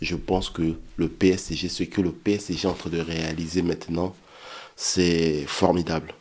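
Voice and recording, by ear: A man's hoarse, put-on character voice, very deep and low, monotone and flat, at a moderate pace.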